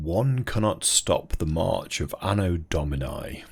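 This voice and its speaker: In a put-on character voice, a man speaks very deep and low at a fairly slow pace. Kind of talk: very posh. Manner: posh, pompous.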